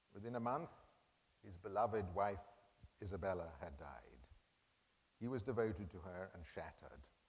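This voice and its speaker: A man's fairly low voice with vocal fry, big swings in loudness and long, frequent pauses, at a moderate pace, with audible room echo. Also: lively intonation. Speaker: art history professor. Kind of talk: lecture.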